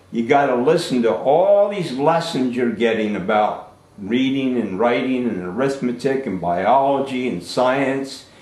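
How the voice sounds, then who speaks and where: Noticeable background noise and audible room echo accompany a man with an American accent speaking at a medium pitch and a fairly slow pace. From New Jersey, US. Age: 60s. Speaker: Air Force veteran and school alumnus speaking to a class. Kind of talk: talk to schoolchildren over video call. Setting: video call. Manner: animated.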